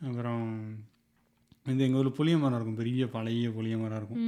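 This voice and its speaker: Medium in pitch, a man speaks in a dark, mellow tone with monotone, flat intonation. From Tirunelveli, Tamil Nadu. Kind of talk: casual podcast conversation, storytelling.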